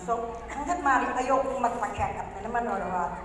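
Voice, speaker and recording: Loud and high-pitched, a woman speaks amid noticeable background noise and audible room echo. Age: 50s. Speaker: testimonial speaker. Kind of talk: testimony.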